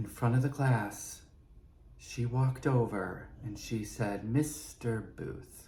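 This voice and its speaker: The voice has a dark, mellow tone and is somewhat breathy, with ordinary pitch variation. It moves at a very slow pace. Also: man, medium pitch for a man. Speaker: podcast host. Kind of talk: personal storytelling monologue. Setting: prop room at a studio.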